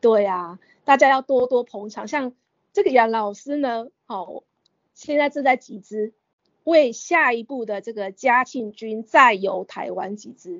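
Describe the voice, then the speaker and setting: A woman with a plain, everyday voice speaks fairly slowly at a fairly high pitch, with ordinary pitch variation and big swings in loudness. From Taiwan, Kaohsiung countryside (Renwu). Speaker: opera enthusiast and teacher. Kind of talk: interview.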